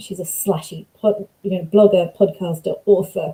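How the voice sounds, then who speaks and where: A woman's somewhat breathy voice holds a medium pitch with monotone, flat intonation. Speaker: academic researcher. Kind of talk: lecture. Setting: video call.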